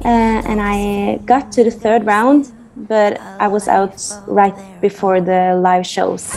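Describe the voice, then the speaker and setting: With music in the background, a woman with a Norwegian accent speaks at a very slow pace and medium pitch, her intonation fairly even. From Norway, Fredrikstad. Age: 20s. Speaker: singer. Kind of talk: interview.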